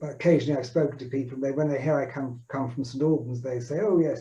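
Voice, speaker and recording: In a southern English accent, a man speaks at a fairly high pitch with fairly even intonation. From southern England. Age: 70s. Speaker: synagogue founder's son. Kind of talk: reminiscing. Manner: halting.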